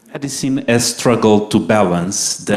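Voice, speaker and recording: In a Portuguese accent, a man with a fairly low pitch talks at a fairly slow pace. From Portugal. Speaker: medical doctor and public health lecturer. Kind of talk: lecture.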